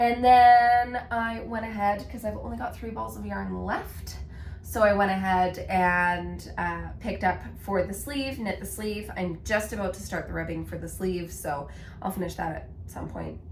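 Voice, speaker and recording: A woman talks at a fairly slow pace with big swings in loudness, heard over noticeable background noise with audible room echo. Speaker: knitting podcaster. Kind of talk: casual chat.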